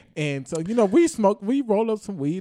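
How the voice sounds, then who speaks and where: With a dark, mellow tone, a man speaks at a moderate pace using lively intonation. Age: 20s. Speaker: podcast co-host. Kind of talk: casual chat.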